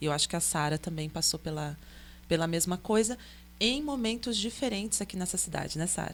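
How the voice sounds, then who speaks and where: A woman's fairly low voice with vocal fry, lively intonation and a fairly quick pace. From São Paulo state interior, Vale do Paraíba (Pindamonhangaba area). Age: 40s. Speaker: artist. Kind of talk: podcast interview.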